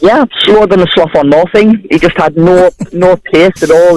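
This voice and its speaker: A man talks with a Sunderland accent at a high pitch and moderate pace, with ordinary pitch variation. The sound is dry and close, with no echo. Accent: Mackem (Sunderland). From Sunderland, north-east England. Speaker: caller. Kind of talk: phone-in call.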